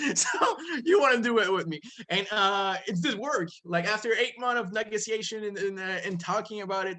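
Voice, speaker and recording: A man speaks in a raised, projected voice with a high pitch and a bright, sharp tone. His pace is moderate and his pitch variation ordinary. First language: French. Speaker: comic book publisher. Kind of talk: casual interview. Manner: animated.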